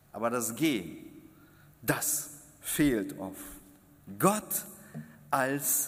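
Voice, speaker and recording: A man at a medium pitch with vocal fry, a very slow pace, long and frequent pauses, and audible room echo. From Kazakhstan. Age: 50s. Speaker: preacher. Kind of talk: sermon. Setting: church.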